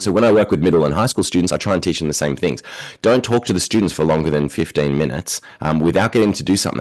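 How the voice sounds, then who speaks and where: With an Australian accent, a man talks in a very deep, low voice with ordinary pitch variation. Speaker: education researcher and university lecturer. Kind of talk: podcast interview. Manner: fast.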